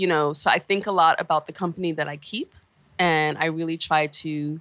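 Speaking at a moderate pace with a New York accent, a woman has a fairly low pitch and a bright, sharp tone on a very clean recording with a silent background. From New York City, Brooklyn. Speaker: founder of a cultural venture. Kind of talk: interview. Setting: radio studio.

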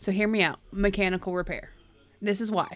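A woman's normal speaking voice at medium pitch and a fairly quick pace, on a very clean recording with a silent background. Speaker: player. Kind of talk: casual tabletop roleplaying game chat.

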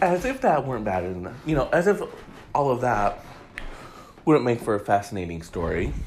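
There is noticeable background noise as a man with a medium pitch talks at a moderate pace. His pitch swings very widely, and he leaves long, frequent pauses. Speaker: celebrity gossip podcast host. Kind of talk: solo casual commentary.

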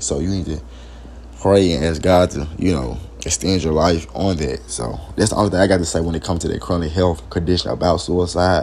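A man talks at a fairly quick pace with a very deep, low pitch. Noticeable background noise sits behind him. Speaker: podcast host. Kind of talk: informal solo talk. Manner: halting.

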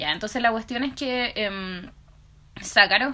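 Speaking with a Chilean accent, a woman uses a raised, projected voice with a bright, sharp tone at a fairly slow pace. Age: 20s. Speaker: podcast co-host. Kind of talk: casual chat.

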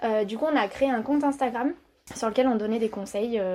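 A woman speaks at a fairly quick pace in a fairly high pitch, her tone dark and mellow, with ordinary pitch variation. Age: 30s. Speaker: entrepreneur. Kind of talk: interview. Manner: hesitant.

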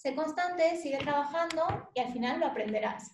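Delivering her words rather slowly, the woman lets her pitch move in a normal way. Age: 20s. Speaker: lawyer. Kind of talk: interview.

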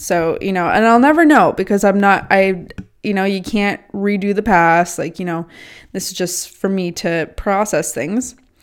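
A woman speaks in an ordinary speaking voice at a medium pitch. Her pace is moderate, with ordinary pitch variation. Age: 20s. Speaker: self-development podcaster. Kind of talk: casual monologue. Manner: casual, filler-heavy.

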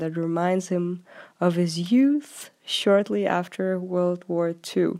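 The recording is very clean, with a silent background. A woman speaks at a medium pitch in a dark, mellow tone. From Denmark. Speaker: overseas contributor. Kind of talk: scripted update.

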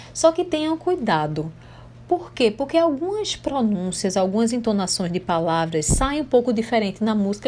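Her fairly high voice swings very widely in pitch as the woman talks at a moderate pace. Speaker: English teacher. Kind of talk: tutorial.

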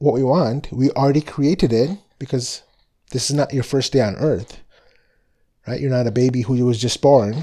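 A man speaks at a moderate pace in a relaxed, dark and mellow tone with ordinary pitch variation. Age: 40s. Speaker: spiritual podcast host. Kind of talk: casual monologue.

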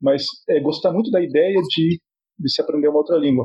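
At a moderate pace, a man speaks in a plain, everyday voice that sits fairly high in pitch. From southern Brazil, Paraná (Cascavel). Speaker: psychology professor and bilingualism researcher. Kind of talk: podcast interview.

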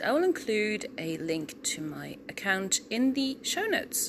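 A woman speaks with very wide pitch swings as noticeable background noise carries on. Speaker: podcast host and audiobook narrator. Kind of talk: casual solo update. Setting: living room at home. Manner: halting with many ums.

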